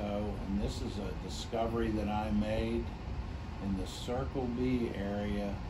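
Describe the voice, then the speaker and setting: A man speaks while background noise remains noticeable behind him. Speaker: oil producer. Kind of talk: infomercial pitch. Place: office. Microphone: camera far.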